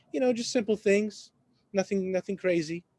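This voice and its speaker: The sound is dry and close with no echo as a man talks with ordinary pitch variation. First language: Arabic. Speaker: real estate agent and café owner. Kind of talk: podcast interview. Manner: halting.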